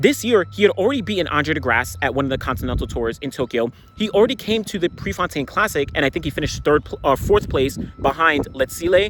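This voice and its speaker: A man speaks at a very fast pace in an animated tone, with hardly any pauses and very wide pitch swings. Noticeable background noise is present. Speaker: track and field commentator. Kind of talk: solo video commentary.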